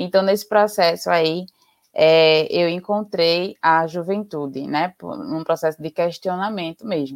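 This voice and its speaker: In an ordinary speaking voice, a woman talks fairly slowly at a fairly low pitch with ordinary pitch variation, the sound dry and close with no echo. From Recife, Pernambuco, Brazil. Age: 20s. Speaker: biologist and environmental activist. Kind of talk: interview on a live stream. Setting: online live stream.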